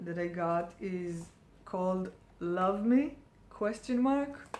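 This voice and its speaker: A woman with a non-native accent speaks at a medium pitch and a very slow pace. Her pitch varies in an ordinary way, and audible room echo surrounds her voice. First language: not English. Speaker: perfume reviewer. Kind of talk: casual product review. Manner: hesitant, many fillers.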